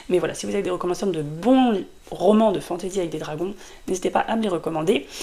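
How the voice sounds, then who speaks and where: A woman at a fairly quick pace with ordinary pitch variation, over noticeable background noise. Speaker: book youtuber. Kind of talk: casual vlog review. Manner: hesitant, many fillers; fast.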